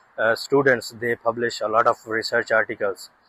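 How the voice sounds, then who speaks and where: A man talks at a moderate pace in a bright, sharp tone. His intonation is monotone and flat, and the sound is dry and close with no echo. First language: not English. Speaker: researcher and YouTuber. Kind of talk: casual vlog monologue. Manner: halting, many fillers.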